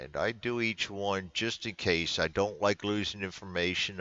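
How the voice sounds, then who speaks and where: A man talks with a very deep, low pitch. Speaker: sports card game hobbyist. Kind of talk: screen-recorded software tutorial. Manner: halting, stumbling over words; casual, filler-heavy.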